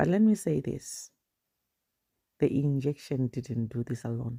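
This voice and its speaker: A woman's dark, mellow voice at a very slow pace with lively intonation, dry and close with no echo, on a very clean recording with a silent background. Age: 50s. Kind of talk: casual vlog talk to camera while walking. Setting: outdoors.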